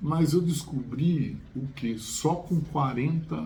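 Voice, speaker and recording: A man speaks with ordinary pitch variation and some vocal fry. His tone is dark and mellow, and the room echo is audible. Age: 60s. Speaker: chemistry teacher. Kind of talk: casual chat. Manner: halting, many fillers and repetitions.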